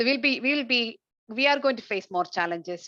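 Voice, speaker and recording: A woman at a fairly quick pace, her sound dry and close with no echo. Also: quiet background. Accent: Indian. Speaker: researcher and webinar host. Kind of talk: webinar discussion. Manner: halting.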